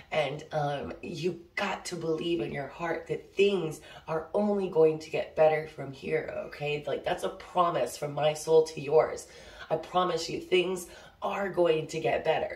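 A woman at a fairly low pitch and fairly slow pace, with fairly even intonation, big swings in loudness and audible room echo. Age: 30s. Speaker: oracle card reader. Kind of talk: casual spiritual vlog; guided breathing. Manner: casual, filler-heavy. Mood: calm, warm, reassuring. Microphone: phone near.

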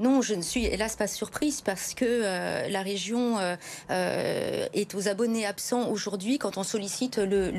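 There is light background noise as a woman speaks at a very slow pace. Her pitch shows ordinary variation. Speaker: guest. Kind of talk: interview answer. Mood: concerned, critical. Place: studio. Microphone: lapel.

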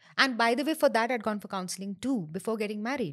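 A woman speaks very fast with lively intonation and a fairly high pitch. The background is quiet. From northern India. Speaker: architect and NLP trainer; NLP trainer. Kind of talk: interview, casual chat mixing Hindi and English. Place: studio. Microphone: studio mic.

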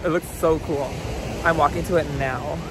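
Recorded dry with no echo, a man speaks at a moderate pace against noticeable background noise. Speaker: vlogger. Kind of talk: casual vlog chat. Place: beach. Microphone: phone near.

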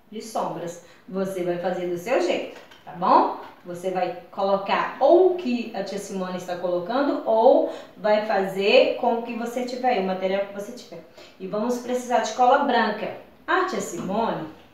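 Audible room echo carries a woman's voice at a fairly slow pace. Her intonation is lively. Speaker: teacher. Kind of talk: craft tutorial for children. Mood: warm, cheerful. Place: home room. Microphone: camera far.

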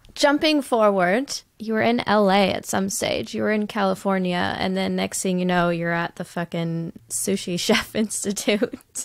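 A woman's animated, bubbly tone with lively intonation, a fairly slow pace and hardly any pauses, dry with no echo against a quiet background. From United States. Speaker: podcast host. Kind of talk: casual interview chat. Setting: video call. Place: home room.

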